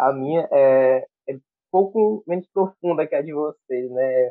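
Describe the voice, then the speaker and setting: With a normal speaking voice, this man talks at a fairly high pitch and varies it in an ordinary way. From Brazil, Piauí. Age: 20s. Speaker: church music ministry coordinator. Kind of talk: casual chat.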